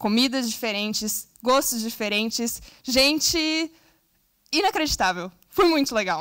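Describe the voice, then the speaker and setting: A woman speaks at a very slow pace in a bright, sharp, high voice. Her intonation is lively. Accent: Brazilian. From southern Brazil. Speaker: scout, invited speaker. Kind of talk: conference talk. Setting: stage with audience.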